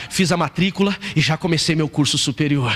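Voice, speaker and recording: Against noticeable background noise, a man with a fairly high pitch speaks in an animated tone. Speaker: pastor. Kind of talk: sermon. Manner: fast, animated.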